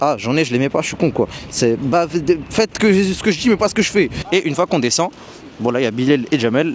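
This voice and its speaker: Very wide pitch swings fill a man's speech at a very fast pace over noticeable background noise. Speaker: travel vlogger. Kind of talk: travel vlog. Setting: outdoors. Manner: casual, slangy.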